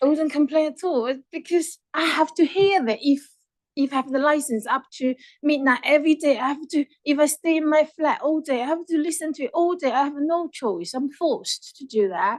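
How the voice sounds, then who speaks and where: Heard in a dry, close sound with no echo, a woman with a non-native accent talks at a fairly quick pace, high in pitch, with ordinary pitch variation. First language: not English. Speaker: objecting resident. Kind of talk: public hearing testimony.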